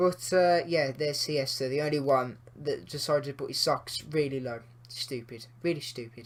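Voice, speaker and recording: Ordinary pitch variation, a moderate pace, hardly any pauses, and a somewhat breathy sound. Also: man, fairly high pitch for a man. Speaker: gaming YouTuber. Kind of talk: gameplay commentary. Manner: casual, with many fillers; quieter than usual.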